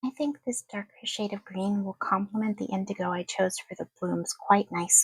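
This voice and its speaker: Soft-spoken and somewhat breathy, a woman talks at a moderate pace and medium pitch with ordinary pitch variation and hardly any pauses, in a dry, close sound with no echo. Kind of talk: soft-spoken ASMR wax sealing demonstration.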